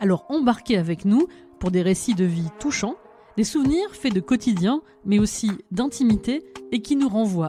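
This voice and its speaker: Music runs in the background behind a woman's fairly high voice. Her pitch swings very widely. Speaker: podcast narrator. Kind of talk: podcast intro narration.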